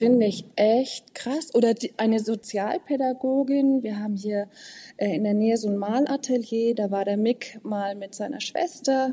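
This woman has a fairly high pitch and a dark, mellow tone that is somewhat breathy. She talks at a moderate pace with ordinary pitch variation over a quiet background. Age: 40s. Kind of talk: interview conversation.

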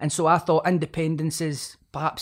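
In a Scottish accent, a man speaks at a moderate pace with high pitch and monotone, flat intonation. The recording is very clean, with a silent background. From Scotland. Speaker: author and rapper. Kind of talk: casual interview chat.

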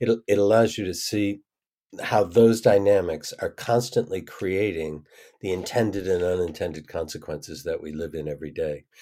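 Recorded very cleanly against a silent background, a man with a fairly low, dark, mellow voice speaks at a moderate pace, with ordinary pitch variation and big swings in loudness. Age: 70s. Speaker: systems thinker and organizational change consultant. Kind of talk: interview conversation.

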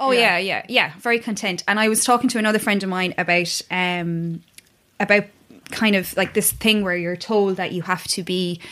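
With an Irish accent, a woman of medium pitch speaks in a bright, sharp tone at a moderate pace, her intonation fairly even. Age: 30s. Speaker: yoga teacher. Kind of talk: casual chat.

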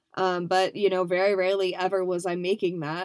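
On a very clean recording with a silent background, a woman of medium pitch speaks at a moderate pace. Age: 20s. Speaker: podcast host. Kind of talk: casual monologue. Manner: animated.

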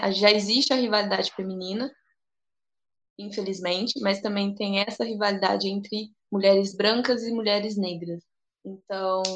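A woman speaks in a plain, everyday voice at a medium pitch, going at a fairly slow pace with fairly even intonation. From Brazil, interior of São Paulo state. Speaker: physical education professional and dance teacher. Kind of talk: casual discussion.

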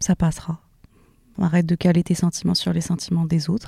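A woman's somewhat breathy voice, dark and mellow in tone and fairly low in pitch, with a dry, close sound and no echo. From Morocco. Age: 20s. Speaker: podcaster and social media creator. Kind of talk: casual chat.

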